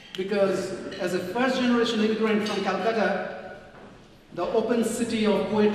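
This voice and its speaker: Strong room echo and light background noise surround the voice. A man speaks in a high pitch with fairly even intonation. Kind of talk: prepared speech. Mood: earnest, somewhat critical. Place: hall.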